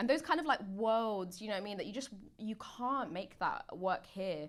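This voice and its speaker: In a Mancunian accent, a woman with a fairly high pitch speaks at a moderate pace, her intonation lively. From Manchester, northwest England. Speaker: actor. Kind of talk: casual chat.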